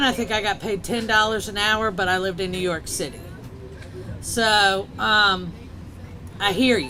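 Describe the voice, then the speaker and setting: There is audible room echo and noticeable background noise. A woman speaks at a fairly slow pace and medium pitch. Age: 50s. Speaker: state legislator. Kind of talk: public speech.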